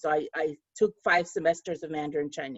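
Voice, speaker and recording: A woman with a slight Russian accent talks at a fairly quick pace. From Russia, Moscow. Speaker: author. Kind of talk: panel discussion. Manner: halting, many fillers.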